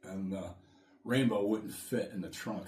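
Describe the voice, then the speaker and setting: A somewhat breathy man with an American accent, at a moderate pace and with fairly even intonation, in audible room echo. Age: 60s. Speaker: podcast co-host, salesman. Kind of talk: casual chat.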